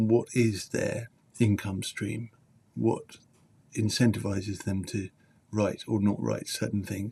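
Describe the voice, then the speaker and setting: A man speaks in a British accent with a fairly low, somewhat breathy voice. His intonation stays monotone and flat. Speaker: journalist and teacher. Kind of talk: live stream talk.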